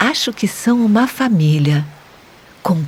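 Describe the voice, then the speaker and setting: Speaking at a very slow pace in a calm, gentle tone, a woman swings her pitch very widely over noticeable background noise. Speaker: meditation guide for children. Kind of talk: children's guided meditation narration. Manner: soft-spoken, calm, gentle.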